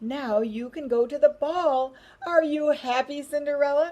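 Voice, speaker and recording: In a put-on character voice pitched high, a woman talks at a moderate pace. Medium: read story. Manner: gentle, kindly.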